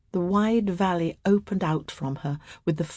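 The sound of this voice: An unforced reading voice, its pitch shifting by an ordinary amount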